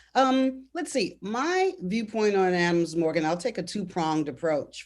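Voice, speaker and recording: A woman's intonation is lively as she talks at a moderate pace in an ordinary speaking voice. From Washington DC, Ward 5, Northeast. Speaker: panelist, local resident. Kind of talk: virtual panel discussion. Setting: video call.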